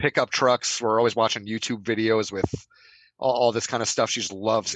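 Recorded with a dry, close sound and no echo, a man speaks in a plain, everyday voice at medium pitch, fairly quick, with fairly even intonation. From New Jersey. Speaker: podcast regular. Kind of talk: casual chat.

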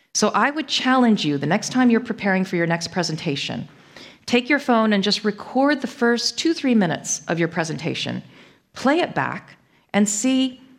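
In an American accent, a woman with a fairly high pitch and vocal fry speaks at a moderate pace with very wide pitch swings, on a very clean recording with a silent background. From US Northeast, Connecticut. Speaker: management lecturer. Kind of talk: conference talk.

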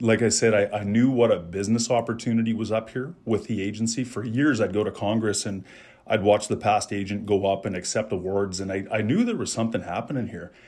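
The speaker goes at a very fast pace with fairly even intonation, in a very clean recording with a silent background. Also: man, fairly low pitch for a man. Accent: Western Canadian. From Calgary, Alberta, Canada. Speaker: insurance advisor. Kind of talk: interview. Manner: halting, repeats words.

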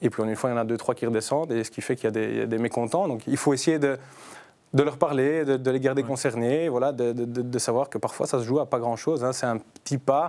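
Speaking at a fairly quick pace, a man with a Belgian accent keeps a medium pitch and fairly even intonation. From Brussels, Belgium. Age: 30s. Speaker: footballer and youth team leader. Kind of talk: casual chat.

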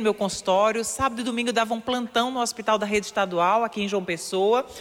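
Noticeable background noise accompanies speech delivered at a fairly quick pace. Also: woman. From Paraíba, Brazil (rural Areia). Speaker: radio columnist, former dentist. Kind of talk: motivational radio talk.

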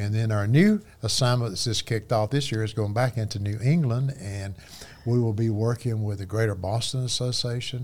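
At a fairly quick pace, a man with a somewhat breathy, medium-pitched voice keeps his intonation fairly even. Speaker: missionary. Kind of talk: casual chat.

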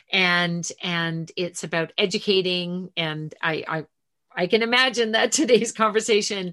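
Against a quiet background, a woman uses an unremarkable speaking voice at medium pitch, moving at a moderate pace with ordinary pitch variation. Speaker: podcast host. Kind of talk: casual interview.

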